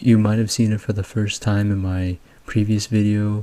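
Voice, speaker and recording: Quiet and flat, a man's fairly low voice has a dark, mellow tone and monotone intonation. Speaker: music producer and YouTube music analyst. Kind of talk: music breakdown commentary. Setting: at home. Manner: quiet, low volume.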